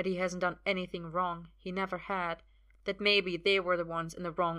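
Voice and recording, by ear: The speaker is reading aloud in a natural voice. The delivery stays in that reading mode throughout.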